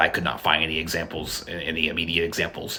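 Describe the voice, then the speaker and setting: A man talks very fast amid noticeable background noise and audible room echo. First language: not Spanish. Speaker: language video creator. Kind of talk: educational monologue. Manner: halting, many repetitions and fillers.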